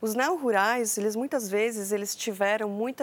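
Soft-spoken and in a calm tone, the voice moves at a moderate pace on a very clean recording with a silent background. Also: woman. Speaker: agricultural researcher. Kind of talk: interview. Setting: studio. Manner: calm, soft.

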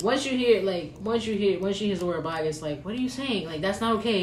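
A woman speaks at a fairly quick pace with ordinary pitch variation. Audible room echo and noticeable background noise surround her. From Mexican family background. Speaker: podcast co-host. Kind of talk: casual chat.

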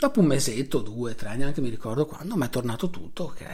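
The man's voice sounds somewhat breathy. He moves along at a fairly quick pace. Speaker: solo podcaster. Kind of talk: late-night personal monologue. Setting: recording at night with video on.

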